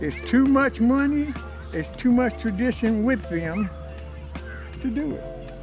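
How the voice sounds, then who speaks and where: With music in the background, a man talks at a fairly slow pace, leaving long, frequent pauses. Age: 70s. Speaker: elder being interviewed. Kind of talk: interview answer.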